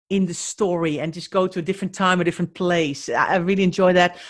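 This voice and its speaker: A woman speaks with a Dutch accent at a medium pitch. Her pace is moderate. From Netherlands. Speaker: professional declutterer and organizer. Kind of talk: casual interview chat.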